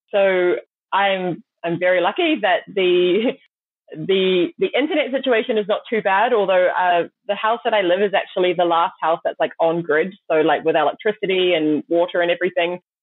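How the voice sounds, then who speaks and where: A woman with a New Zealand accent, at a moderate pace and very even loudness. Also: medium pitch for a woman, ordinary pitch variation. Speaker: startup founder. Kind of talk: interview.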